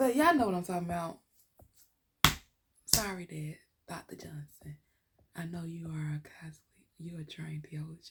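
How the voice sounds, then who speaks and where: A somewhat breathy woman's voice, fairly low in pitch, with ordinary pitch variation and long, frequent pauses. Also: moderate pace. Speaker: podcast host. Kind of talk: solo podcast monologue. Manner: casual, halting with fillers.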